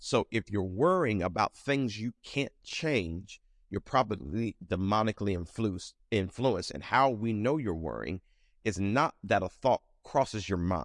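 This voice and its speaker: In a quiet background with a dry, close sound and no echo, a man of fairly low pitch speaks fairly slowly with lively intonation in an ordinary speaking voice. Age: 40s. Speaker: pastor. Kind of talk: bible study teaching. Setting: church with live audience and stream.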